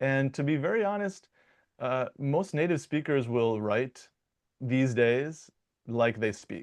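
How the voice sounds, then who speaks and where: In an American accent, a man speaks very slowly at medium pitch with lively intonation over a quiet background. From US Midwest, Michigan. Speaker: dialect coach and linguist. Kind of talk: interview conversation. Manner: casual, many fillers and repetitions.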